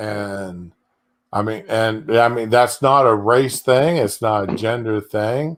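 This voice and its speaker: A man at a very slow pace, medium in pitch with ordinary pitch variation, on a very clean recording with a silent background. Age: 60s. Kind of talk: casual chat. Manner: halting.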